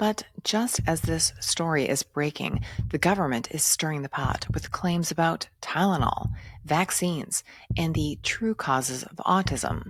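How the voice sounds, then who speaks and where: This woman has a very deep, low pitch and vocal fry, with a dramatic tone. She talks at a fairly slow pace with lively intonation. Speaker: doctor and podcast host. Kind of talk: podcast commentary monologue. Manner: dramatic, punchy delivery.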